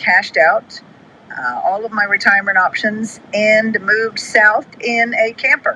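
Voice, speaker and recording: Over noticeable background noise, a woman talks at a fairly slow pace, her fairly high pitch showing ordinary variation. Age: 70s. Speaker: client. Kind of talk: testimony.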